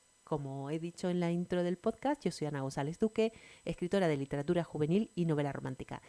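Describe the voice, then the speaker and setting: A woman with a dark, mellow tone and fairly low pitch speaks at a fairly quick pace. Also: very clean recording, silent background. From Canary Islands, Tenerife. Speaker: podcast host, writer. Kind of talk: podcast interview.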